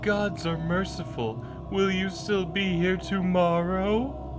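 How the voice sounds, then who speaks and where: Over loud music in the background, a put-on character voice at a middle pitch moves at a fairly slow pace. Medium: game stream.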